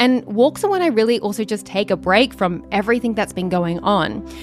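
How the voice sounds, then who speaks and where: Music plays behind the speech. A woman delivers it fairly quickly. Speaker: meditation guide. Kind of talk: casual talk to camera.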